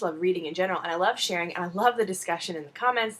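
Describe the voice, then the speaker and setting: A woman talks at a very fast pace with lively intonation and an animated tone, at medium pitch. Noticeable background noise runs under her voice. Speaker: video blogger. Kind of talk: casual chat.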